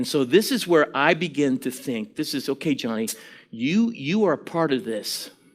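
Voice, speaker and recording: Lively intonation runs through a man's fairly high-pitched voice at a moderate pace. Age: 60s. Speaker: preacher. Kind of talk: sermon. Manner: animated.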